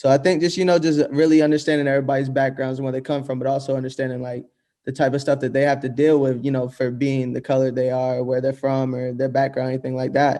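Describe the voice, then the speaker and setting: This man, with an American accent, has a medium pitch and a dark, mellow tone delivered in a monotone, flat intonation. He talks very fast with hardly any pauses. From US South. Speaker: music producer. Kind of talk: casual interview.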